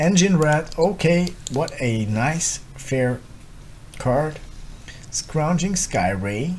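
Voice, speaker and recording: A man with a non-native accent, fairly high in pitch, with lively intonation, a very slow pace, long, frequent pauses and audible room echo. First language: not English. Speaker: gaming content creator. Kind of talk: gameplay commentary. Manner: thinking aloud, hesitant.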